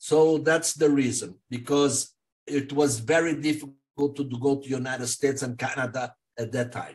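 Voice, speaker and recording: A man speaks at a moderate pace with a fairly high pitch. His voice is somewhat breathy, with fairly even intonation. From Brazil, São Paulo. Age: 70s. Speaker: honorary consul. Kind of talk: interview. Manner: halting.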